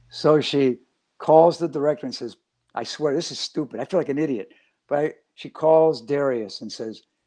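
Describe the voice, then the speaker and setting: A man talks at a moderate pace in an American accent. His tone is dark and mellow. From Chicago, US Midwest. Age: 70s. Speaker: actor. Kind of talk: interview. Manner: animated.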